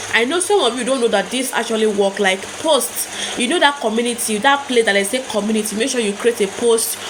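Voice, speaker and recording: A woman's fairly high, animated voice at a fairly quick pace, with ordinary pitch variation and noticeable background noise. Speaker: YouTube growth tips creator. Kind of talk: casual tutorial to camera. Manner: fast; animated, repetitive.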